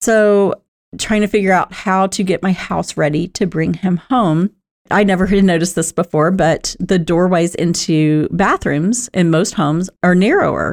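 The sound is dry and close with no echo as a woman speaks at a moderate pace and medium pitch, her loudness very even. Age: 50s. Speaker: podcast host, senior housing advisor. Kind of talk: solo podcast monologue. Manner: animated.

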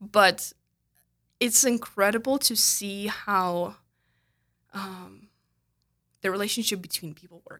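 A woman with a Russian accent talks at a very slow pace and a medium pitch in a bright, sharp tone with fairly even intonation. She leaves long, frequent pauses, and her loudness swings widely. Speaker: clinical counselor. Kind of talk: interview. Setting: studio.

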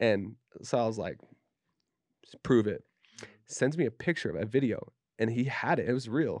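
Against a quiet background, a man with an American accent speaks at a medium pitch and a moderate pace. His pitch variation is ordinary, and he leaves long, frequent pauses. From Utah, Davis County. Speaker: tattoo artist. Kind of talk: casual chat.

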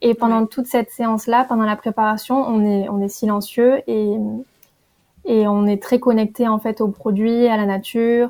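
A woman with a fairly high pitch and a dark, mellow tone speaks in a monotone, flat intonation. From southern France, Perpignan. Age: 20s. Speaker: tea brand founder. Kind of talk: casual interview.

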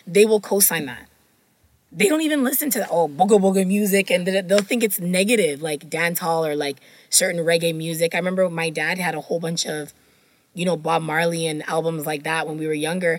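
This is an ordinary speaking voice, moving at a fairly quick pace with ordinary pitch variation. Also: woman, fairly low pitch for a woman. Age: 30s. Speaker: book podcast co-host. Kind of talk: casual chat.

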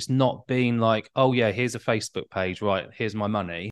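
A man talks in a normal speaking voice at a medium pitch, moving at a fairly quick pace with ordinary pitch variation. The sound is dry and close with no echo, over a quiet background. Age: 40s. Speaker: tutoring business owner and former teacher. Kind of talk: casual interview chat.

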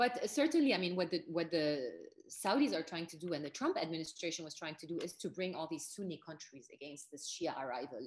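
A woman speaks at a very fast pace with ordinary pitch variation. Her pitch is very deep and low. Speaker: journalist. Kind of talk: interview.

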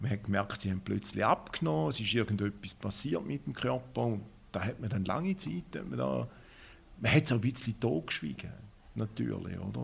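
In a very clean recording with a silent background, a man talks at a moderate pace with vocal fry. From Schaffhausen, Switzerland. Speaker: diabetic patient. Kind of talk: interview.

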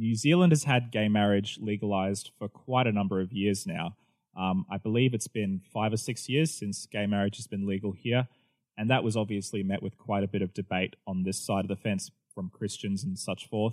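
A man with an Australian accent and a fairly low pitch talks at a moderate pace with ordinary pitch variation. The sound is dry and close with no echo, on a very clean recording with a silent background. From Australia, New South Wales. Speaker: pastor. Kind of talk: casual chat.

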